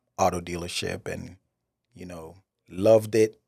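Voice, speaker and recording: A man speaks with an American accent. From Jamaica, Kingston. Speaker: podcast host and finance manager. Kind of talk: personal storytelling monologue. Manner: hesitant, many fillers like um and you know.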